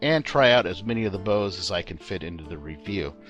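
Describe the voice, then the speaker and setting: A fairly low-pitched man with lively intonation at a fairly quick pace, music in the background. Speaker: video game mod reviewer. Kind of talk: game review narration.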